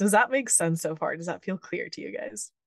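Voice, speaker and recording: A woman speaks in a normal speaking voice at a fairly quick pace with lively intonation. The sound is dry and close with no echo. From Texas (Houston), born in Venezuela. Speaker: human design and gene keys teacher and coach. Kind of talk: interview, explaining concepts.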